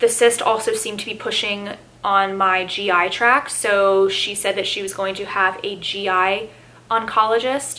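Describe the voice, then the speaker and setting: Noticeable background noise sits under a woman's medium-pitched voice. She speaks at a fairly slow pace with fairly even intonation. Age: 20s. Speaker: cancer survivor. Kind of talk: personal story told to camera.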